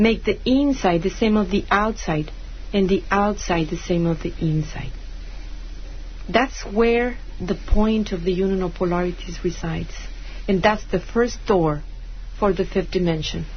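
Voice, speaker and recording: Long, frequent pauses mark a woman's fairly slow speech at medium pitch, with ordinary pitch variation and audible room echo. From Mexico. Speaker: spiritual teacher and author. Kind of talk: radio interview. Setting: radio studio.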